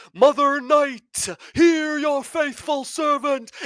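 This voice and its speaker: Someone puts on a high-pitched character voice. The delivery is very slow. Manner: solemn, commanding, grand.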